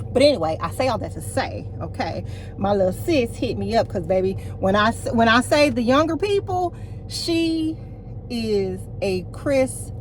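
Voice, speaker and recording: At a moderate pace, a woman speaks in an animated tone, with noticeable background noise and audible room echo. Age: 40s. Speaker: lifestyle vlogger. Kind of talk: casual vlog talk to camera.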